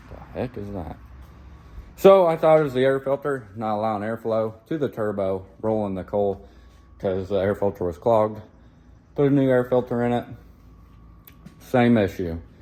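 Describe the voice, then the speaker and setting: A man's dark, mellow voice carries ordinary pitch variation. He leaves long, frequent pauses. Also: medium pitch for a man, moderate pace. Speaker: farmer. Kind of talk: vlog narration. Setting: farm, by a tractor. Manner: casual, with fillers.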